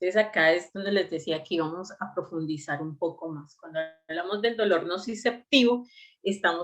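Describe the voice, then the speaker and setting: A woman speaks in an ordinary speaking voice, medium in pitch with ordinary pitch variation. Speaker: medical lecturer. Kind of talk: online lecture.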